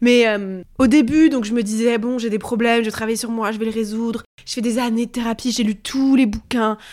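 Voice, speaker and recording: Speaking at a moderate pace with hardly any pauses, a woman keeps a fairly high pitch and monotone, flat intonation in a very clean recording with a silent background. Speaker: journalist and author. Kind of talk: personal testimony interview. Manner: hesitant, many fillers.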